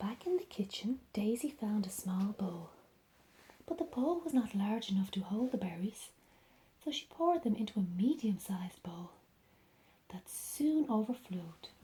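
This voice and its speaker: A woman whispers, soft-spoken and somewhat breathy, at a moderate pace with long, frequent pauses. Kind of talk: ASMR bedtime storybook reading. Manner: soft-spoken, whispering.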